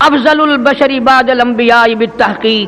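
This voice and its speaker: A man speaks at an extremely high pitch in a raised, projected voice with a passionate tone, over noticeable background noise. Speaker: Islamic preacher (qari). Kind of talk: Islamic sermon (taqreer / bayan). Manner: passionate, oratorical, emphatic, addressing the audience directly.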